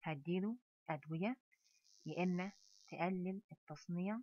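A woman speaks in a fairly low voice with an Egyptian accent. The sound is dry and close, with no echo. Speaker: pharmacology professor. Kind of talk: lecture.

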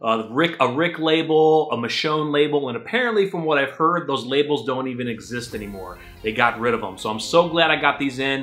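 A man at a fairly quick pace with hardly any pauses, faint music in the background. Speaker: comic collector vlogger. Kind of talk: casual vlog chat. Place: home room. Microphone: camera far.

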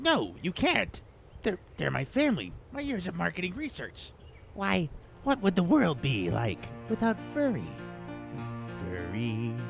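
The speaker uses a put-on character voice at a moderate pace, with long, frequent pauses. Clear music plays in the background. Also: man. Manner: theatrical, rambling, salesman-like; hesitant, stammering.

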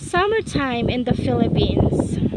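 Through loud background noise, a woman speaks at a fairly slow pace in a dry sound with no echo. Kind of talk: casual vlog chat. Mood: delighted, admiring the view. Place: open country. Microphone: phone near.

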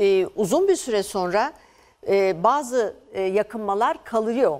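A woman delivers her words at a very slow pace, with a quiet background around her. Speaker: endocrinology professor. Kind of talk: medical interview. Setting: studio. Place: studio. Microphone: lapel.

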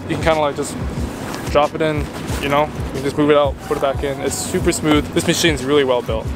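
Music can be heard in the background. Over it, a man talks at a very fast pace. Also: dry sound with no echo. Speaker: tech reviewer vlogger. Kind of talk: casual vlog chat. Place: open country. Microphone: phone near.

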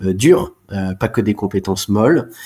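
Speaking at a fairly slow pace, the man has a dark, mellow tone. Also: very clean recording, silent background. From France, Alsace. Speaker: chartered accountant. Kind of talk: interview. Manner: halting, frequent repetitions.

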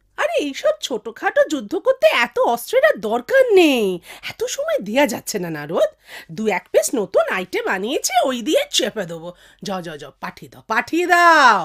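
A high-pitched, cartoonish character voice speaks. Its pace is moderate. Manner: brisk, impatient.

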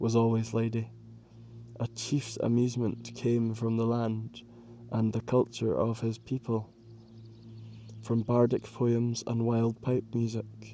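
A man speaks fairly slowly in a dark, mellow tone. His medium-pitched voice stays monotone and flat. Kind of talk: audiobook reading of narrative history, read aloud in measured literary style. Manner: steady, measured, formal narrator pace.

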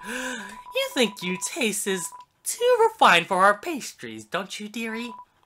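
This man puts on a character voice pitched high. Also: fairly slow pace. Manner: condescending, sweetly sarcastic.

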